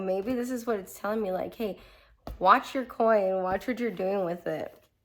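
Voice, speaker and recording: A woman with an unremarkable speaking voice and ordinary pitch variation, on a very clean recording with a silent background. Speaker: tarot reader podcast host. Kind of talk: casual monologue, tarot reading. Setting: home garage studio.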